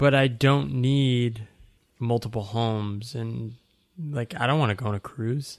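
A man speaks at a fairly slow pace in a normal speaking voice, with medium pitch and ordinary pitch variation. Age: 30s. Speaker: writer and coach. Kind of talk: casual interview.

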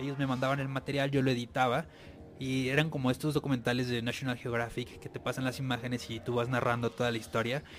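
Over music in the background, a man at medium pitch speaks at a very fast pace. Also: fairly even intonation. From Tijuana, Mexico. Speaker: TV and radio producer. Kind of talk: casual chat. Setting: radio studio.

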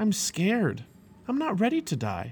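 A man's put-on character voice, high in pitch with very wide pitch swings, a slightly mellow tone, a slightly husky edge and a fairly slow pace.

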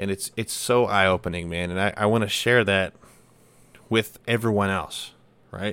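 A man with an American accent speaks at a fairly low pitch in a bright, sharp tone with fairly even intonation, on a very clean recording with a silent background. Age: 20s. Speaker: firefighter podcaster. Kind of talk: casual solo monologue. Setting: home desk setup. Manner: casual, rambling with fillers.

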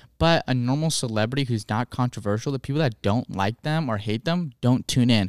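In a very clean, dry, close recording with a silent background and no echo, a man with a normal speaking voice talks at a medium pitch with ordinary pitch variation, at a fairly quick pace with hardly any pauses. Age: 20s. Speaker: podcast co-host. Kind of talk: casual chat.

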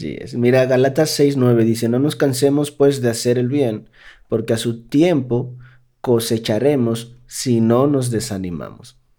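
Speaking at a fairly slow pace, a man has a dark, mellow tone. His medium pitch shows ordinary variation. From Dominican Republic. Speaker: podcast co-host. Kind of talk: casual chat; reading aloud.

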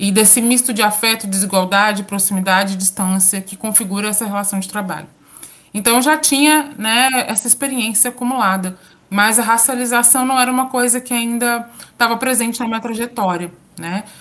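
A woman speaks in a normal speaking voice. She goes at a fairly quick pace with ordinary pitch variation. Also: fairly high pitch for a woman. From Minas Gerais, Brazil (interior, São João del Rei). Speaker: university professor and researcher. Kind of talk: interview.

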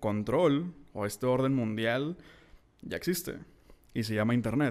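Fairly slow delivery with ordinary pitch variation, in a normal speaking voice. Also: man. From Mexico, Monterrey. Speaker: podcast host, writer. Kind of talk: solo podcast monologue.

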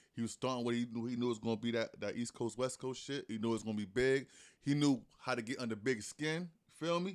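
The recording is very clean, with a silent background. A man's voice sits at medium pitch with ordinary pitch variation. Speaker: podcast host. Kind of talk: casual chat.

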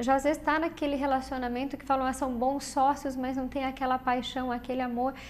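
This woman has a high-pitched voice. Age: 40s. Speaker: physiotherapist. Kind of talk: TV interview.

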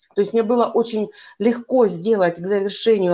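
Against a quiet background, a woman with a normal speaking voice talks at a fairly high pitch with ordinary pitch variation. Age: 50s. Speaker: life coach. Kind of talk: casual interview.

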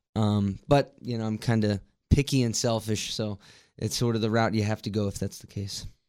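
A man with an American accent in a plain, everyday voice, fairly low-pitched with fairly even intonation, on a very clean recording with a silent background. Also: moderate pace. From West Virginia, Martinsburg. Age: 20s. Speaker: musician. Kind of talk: casual interview. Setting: studio.

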